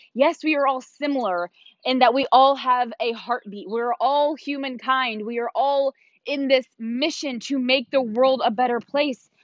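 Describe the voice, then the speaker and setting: A woman speaks loudly at a fairly slow pace. Her pitch is high, with ordinary variation. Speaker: podcast host and network marketer. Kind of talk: motivational solo talk. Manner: animated.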